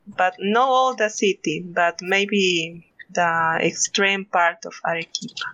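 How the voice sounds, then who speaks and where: With a Spanish accent, a woman speaks at a very slow pace in a medium pitch with ordinary pitch variation. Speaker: podcast co-host. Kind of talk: casual chat.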